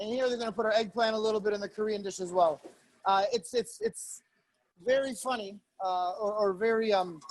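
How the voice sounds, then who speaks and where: This man's high-pitched voice follows a fairly even intonation. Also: fairly quick pace. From Italian-American family. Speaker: chef. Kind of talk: cooking demonstration. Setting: video call. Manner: fast; hesitant, many fillers.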